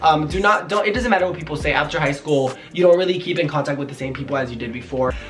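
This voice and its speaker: A man talks at a very fast pace and a fairly high pitch, with ordinary pitch variation. Audible room echo and noticeable background noise surround him. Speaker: YouTuber and small business owner. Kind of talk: casual Q&A vlog. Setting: at home.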